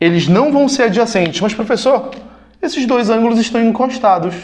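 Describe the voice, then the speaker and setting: With a Brazilian accent, a man speaks in a high pitch. The room echo is audible. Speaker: math teacher. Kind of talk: lecture. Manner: fast; casual.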